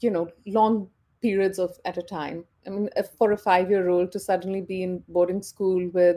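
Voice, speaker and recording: Monotone, flat speech from a woman at medium pitch, dark and mellow in tone, at a moderate pace. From India, Punjab. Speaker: interview guest. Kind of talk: casual interview. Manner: hesitant with many fillers.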